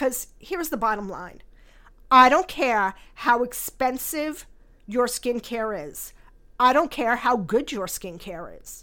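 In a very clean recording with a silent background, a woman with a high pitch and a bright, sharp tone speaks very slowly, with lively intonation and big swings in loudness. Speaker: skincare company founder and podcast host. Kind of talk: scripted-style podcast monologue, intro episode. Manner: warm, candid, self-deprecating, chuckles.

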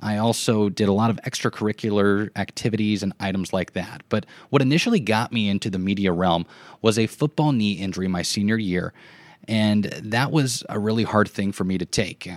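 Recorded very cleanly with a silent background and a dry, close sound with no echo, a man with a Midwestern American accent speaks fairly quickly with fairly even intonation. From US Midwest, southwest Nebraska. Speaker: podcast host, former sports broadcaster. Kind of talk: personal narrative monologue.

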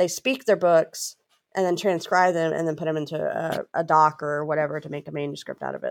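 A woman's very deep, low voice with a Southern US accent at a fairly quick pace, with ordinary pitch variation and a dry, close sound with no echo. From Louisiana. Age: 40s. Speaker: author and speaker. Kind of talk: interview.

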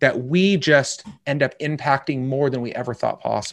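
A man with a normal speaking voice and ordinary pitch variation, at a moderate pace against a quiet background. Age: 40s. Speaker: life coach. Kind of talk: interview conversation.

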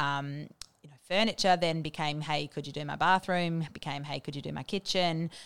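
An Australian accent with fairly even intonation. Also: woman, dry, close sound with no echo, very clean recording, silent background. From Australia, Bendigo, Victoria. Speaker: interior designer. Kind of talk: interview. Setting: studio. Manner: hesitant, many ums.

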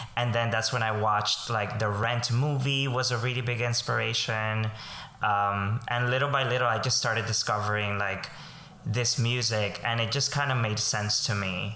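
With a Spanish accent, a man speaks at a moderate pace and medium pitch in a monotone, flat way. His tone is bright and sharp, with audible room echo. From Colombia. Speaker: voice teacher and performing arts educator. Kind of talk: interview.

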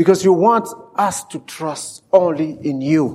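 A man's fairly high voice with a Central African French accent and ordinary pitch variation. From DR Congo. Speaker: preacher. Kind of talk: sermon. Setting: church. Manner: animated.

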